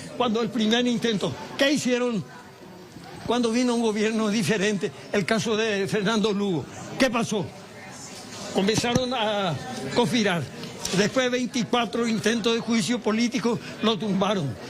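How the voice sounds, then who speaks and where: Over crowd noise and audible room echo, a man speaks in a high pitch with very even loudness and long, frequent pauses. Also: ordinary pitch variation, moderate pace. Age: 80s+. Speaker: torture victim, former political prisoner. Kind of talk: impassioned statement to press.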